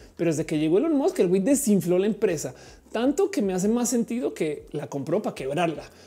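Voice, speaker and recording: At a fairly quick pace, a woman talks in an animated tone at medium pitch. Her pitch swings very widely. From Colombia. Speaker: tech streamer. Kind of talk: live stream chat.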